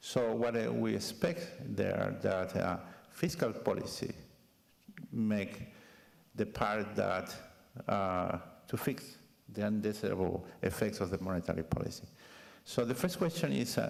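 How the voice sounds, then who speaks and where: Speaking at a fairly slow pace with long, frequent pauses, a man keeps a fairly low pitch and very even loudness. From Chile. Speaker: discussant academic. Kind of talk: panel discussion question. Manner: halting.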